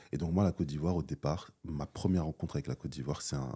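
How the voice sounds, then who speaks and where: Fairly quick and very deep, low-pitched, a man speaks with vocal fry and a dark, mellow tone in a dry, close sound with no echo. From France, Paris, of Ivorian parents. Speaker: entrepreneur and business school founder. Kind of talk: interview. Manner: hesitant, with fillers and repetitions.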